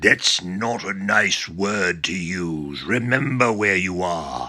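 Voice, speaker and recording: Putting on a raspy character voice, a man speaks at a very slow pace with a fairly low pitch. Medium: read story. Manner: calm, reasoning.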